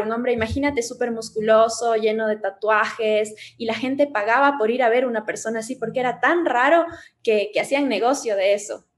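Fairly high-pitched female voice at a fairly quick pace, ordinary pitch variation and noticeable background noise. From Ecuador, Cuenca. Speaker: tattoo artist and psychologist. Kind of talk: casual chat.

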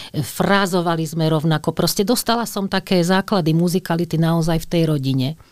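In a very clean recording with a silent background, a woman with an ordinary speaking voice talks at a fairly quick pace and fairly low pitch, with hardly any pauses. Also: ordinary pitch variation, very even loudness. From western Slovakia, Skalica area. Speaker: opera singer. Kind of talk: interview.

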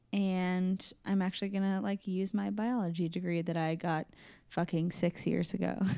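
A woman with a Midwestern US accent speaks at a medium pitch and moderate pace in a dark, mellow tone. Her intonation is monotone and flat, her loudness very even. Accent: US Midwest. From Des Moines, Iowa. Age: 20s. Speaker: podcast co-host. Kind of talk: casual chat.

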